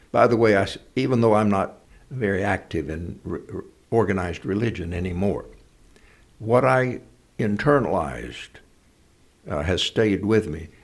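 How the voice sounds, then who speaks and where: Using lively intonation and vocal fry, a man with a fairly low pitch speaks at a moderate pace with long, frequent pauses. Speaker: actor and speaker. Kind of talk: interview answer.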